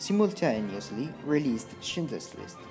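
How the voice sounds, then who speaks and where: With music in the background, the speaker talks at a fairly slow pace in a non-native accent. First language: non-native English speaker. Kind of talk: documentary narration about a film director.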